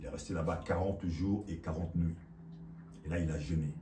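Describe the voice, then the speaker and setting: A man's very deep, low voice, dark and mellow, somewhat breathy, with fairly even intonation and audible room echo. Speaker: preacher. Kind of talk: sermon.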